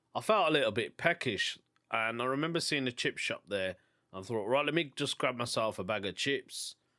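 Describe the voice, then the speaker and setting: Here a man with a Birmingham accent speaks at medium pitch and a moderate pace, with lively intonation and a bright, sharp tone. The recording is very clean with a silent background and a dry, close sound with no echo. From England, Birmingham. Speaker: stand-up comedian and podcast host. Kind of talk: casual podcast monologue.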